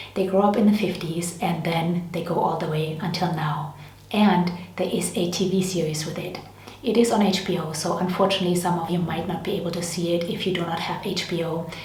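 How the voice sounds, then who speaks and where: Speaking at a fairly quick pace, a woman with a fairly low pitch is heard amid noticeable background noise and audible room echo. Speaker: beauty and lifestyle vlogger. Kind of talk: casual product review vlog. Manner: fast when excited; animated.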